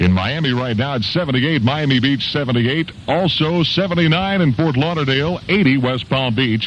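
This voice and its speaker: Noticeable background noise behind a man's fairly high voice, with lively intonation and very even loudness. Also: fairly quick pace. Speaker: radio DJ. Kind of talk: oldies radio aircheck. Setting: AM radio broadcast.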